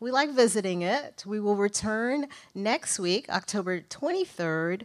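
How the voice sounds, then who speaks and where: The background stays quiet. Pitch rises and falls in an ordinary way. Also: woman. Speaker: event host. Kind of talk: welcome introduction speech. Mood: warm, welcoming. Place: hall. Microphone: podium.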